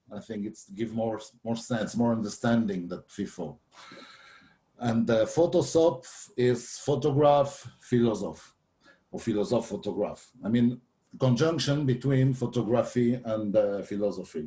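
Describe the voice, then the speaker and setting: The man's voice is somewhat breathy, with a dark, mellow tone at a medium pitch. He speaks at a fairly slow pace with lively intonation. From France, Paris. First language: French. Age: 60s. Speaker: photographer and philosopher. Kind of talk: workshop presentation. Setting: video call. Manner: halting.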